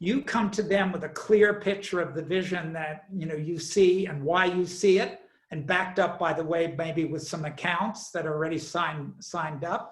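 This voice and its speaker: Amid noticeable background noise and audible room echo, a man with a high pitch and fairly even intonation speaks at a moderate pace with hardly any pauses. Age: 70s. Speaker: entrepreneur. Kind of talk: interview.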